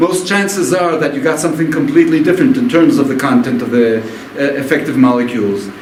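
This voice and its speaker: Audible room echo and noticeable background noise surround a man with a non-native accent. His fairly high voice moves at a fairly quick pace with very wide pitch swings. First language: not English. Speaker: physician, conference speaker. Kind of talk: lecture. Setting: stage with audience. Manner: halting.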